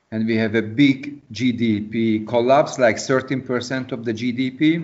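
A man of medium pitch with an unremarkable speaking voice and fairly even intonation. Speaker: event organizer. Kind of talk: casual chat. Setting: video call.

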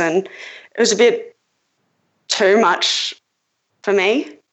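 A woman speaks with an Australian accent. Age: 20s. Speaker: caller. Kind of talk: call-in advice conversation.

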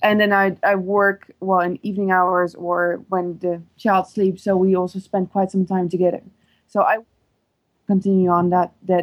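A woman's medium-pitched voice in a Dutch accent, at a moderate pace, with very even loudness and a monotone, flat intonation. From Netherlands. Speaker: caller. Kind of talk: advice call.

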